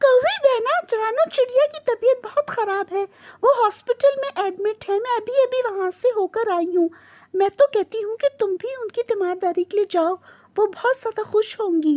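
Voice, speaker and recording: A cartoonish character voice, female-sounding and extremely high in pitch, at a moderate pace. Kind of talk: religious blessing. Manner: affectionate, earnest.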